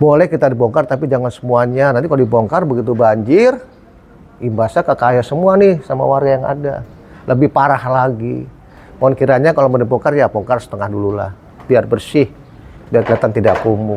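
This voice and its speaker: With noticeable background noise behind him, a man speaks at a fairly quick pace and a medium pitch, with ordinary pitch variation. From Jakarta. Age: 60s. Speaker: local resident. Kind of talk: street interview.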